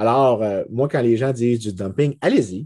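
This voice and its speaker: A man talks at a medium pitch with ordinary pitch variation and a dark, mellow tone. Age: 30s. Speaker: economics lecturer. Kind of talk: casual chat.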